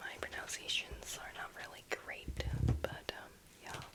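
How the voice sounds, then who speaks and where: Someone whispers over noticeable background noise. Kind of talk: casual talk to camera, book show-and-tell. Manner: soft, casual, chatty.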